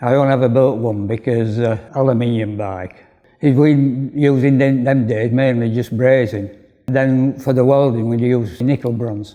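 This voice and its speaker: A man with a Yorkshire accent speaks at a moderate pace in a dark, mellow tone, his medium pitch carried by fairly even intonation. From northern England, Bradford, West Yorkshire. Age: 80s+. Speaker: retired cycle frame builder. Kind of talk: interview.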